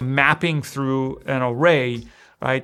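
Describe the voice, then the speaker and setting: A man with a non-native accent speaks at a fairly slow pace and a fairly high pitch, with ordinary pitch variation. The recording is very clean, with a silent background. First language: not English. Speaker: programming tutor. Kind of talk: tutorial. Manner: casual, conversational.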